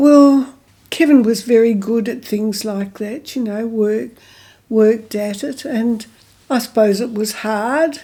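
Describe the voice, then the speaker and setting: In an Australian accent, a woman speaks at a very slow pace with a fairly high pitch and ordinary pitch variation. Her tone is dark and mellow. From Margaret River, Western Australia. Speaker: local historian and former eco-tourism operator. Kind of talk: oral history interview answer.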